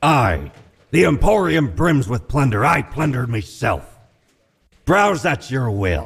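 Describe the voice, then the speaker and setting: In a put-on character voice, a man speaks at a fairly slow pace. His pitch is medium, with very wide pitch swings. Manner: boastful, theatrical.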